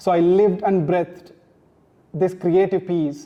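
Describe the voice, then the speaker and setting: This man has a Tamil accent and a high pitch. He keeps a moderate pace with monotone, flat intonation. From South India, Tamil-speaking. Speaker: author. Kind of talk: launch speech.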